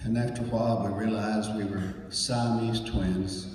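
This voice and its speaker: A fairly low-pitched man's voice, monotone and flat, at a fairly slow pace, with audible room echo and noticeable background noise. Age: 80s+. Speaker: pastor. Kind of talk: speech at a reunion.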